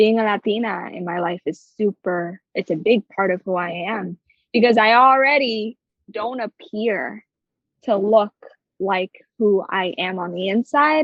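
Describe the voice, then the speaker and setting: At a fairly slow pace, a woman with an American accent speaks in a medium pitch. Her pitch variation is ordinary. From New Jersey, US. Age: 20s. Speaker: creative director. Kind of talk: podcast interview. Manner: animated.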